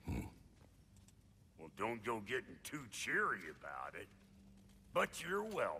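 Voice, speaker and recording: A man puts on a character voice at a medium pitch, speaking fairly slowly. He takes long, frequent pauses, and background noise is clearly audible. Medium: video game. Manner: gruff, blunt.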